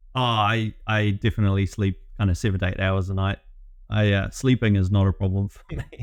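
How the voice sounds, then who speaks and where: Fairly low in pitch, a man with a New Zealand accent talks at a fairly quick pace in a monotone, flat intonation, with big swings in loudness. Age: 30s. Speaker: business growth consultant. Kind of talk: interview. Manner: hesitant, many fillers.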